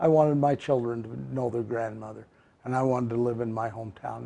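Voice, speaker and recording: Speaking at a fairly quick pace, a man with a dark, mellow tone uses ordinary pitch variation. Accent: western US. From southern Utah, Cedar City. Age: 70s. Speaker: mayor. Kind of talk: interview.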